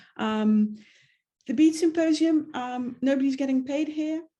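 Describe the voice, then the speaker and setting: Somewhat breathy female speech of a dark, mellow tone. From Netherlands. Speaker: webinar host. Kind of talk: event introduction. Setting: video webinar. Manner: hesitant, many fillers.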